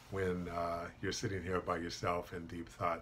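A man talks in a very deep, low pitch with a bright, sharp tone. Light background noise sits behind him. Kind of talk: personal testimony to camera. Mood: earnest, reflective about hardship. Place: office. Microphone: webcam.

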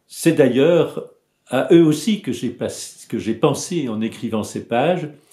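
The voice moves at a very slow pace in a dark, mellow tone, with audible room echo against a quiet background. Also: man, fairly high pitch for a man. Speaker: psychoanalyst and author. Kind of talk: book presentation video. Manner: halting. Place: home room. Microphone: webcam.

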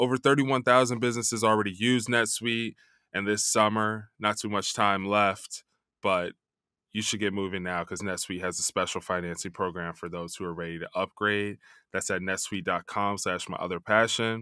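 A man speaks at a moderate pace in a fairly low voice with a bright, sharp tone and fairly even intonation. The sound is dry with no echo, and the background is quiet. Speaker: podcast host. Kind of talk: sponsor ad read. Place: studio. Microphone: studio mic.

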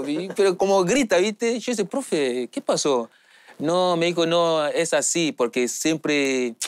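On a very clean recording with a silent background and a dry, close sound with no echo, a man speaks with a high pitch and very wide pitch swings. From Nigeria, Lagos. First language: English or a Nigerian language (speaking Spanish). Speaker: footballer. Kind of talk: interview. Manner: halting non-native Spanish.

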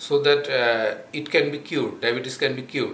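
With a Bangladeshi accent, a man speaks fairly slowly in a fairly high pitch, with audible room echo and light background noise. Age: 40s. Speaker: patient giving testimonial. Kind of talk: testimonial. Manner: halting, many fillers. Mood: calm, earnest. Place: home room. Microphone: camera far.

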